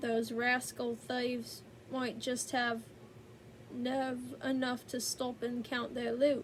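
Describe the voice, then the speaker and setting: In a put-on character voice, a woman drawls at a very slow pace with a high pitch and monotone, flat intonation, over clear background noise. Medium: read story. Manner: folksy, drawling.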